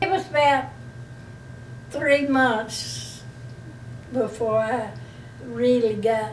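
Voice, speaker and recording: A woman with an Alabama accent speaks at a very slow pace with long, frequent pauses amid noticeable background noise. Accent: Southern US (Alabama). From Slocum, Alabama. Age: 80s+. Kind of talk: interview answer.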